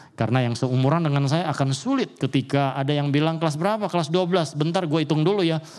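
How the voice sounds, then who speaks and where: Animated in tone, a man talks very fast at a fairly high pitch with hardly any pauses. His loudness stays very even, and his pitch varies in an ordinary way. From Papua, Indonesia (Sorong). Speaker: pastor. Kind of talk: sermon. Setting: church.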